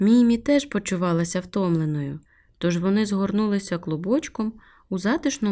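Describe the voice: Plain reading aloud with ordinary pitch variation.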